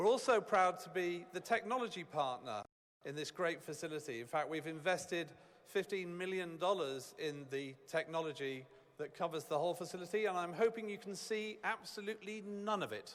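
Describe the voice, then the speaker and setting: With a British accent, the speaker goes at a fairly quick pace with ordinary pitch variation. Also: man, high pitch for a man. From United Kingdom. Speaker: business executive. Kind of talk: ceremony speech.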